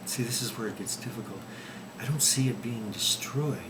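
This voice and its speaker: Whispering over noticeable background noise. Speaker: video blogger. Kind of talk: casual monologue. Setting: at home. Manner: halting.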